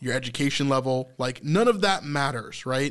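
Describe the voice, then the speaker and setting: A man speaks at a moderate pace in a plain, everyday voice, fairly high in pitch, with ordinary pitch variation. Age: 30s. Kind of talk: casual faith discussion.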